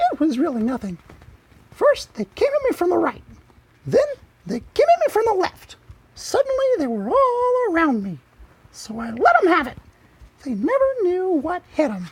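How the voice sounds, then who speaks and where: Putting on a squeaky character voice at an extremely high pitch, a man speaks at a moderate pace with very wide pitch swings and long, frequent pauses. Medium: read story.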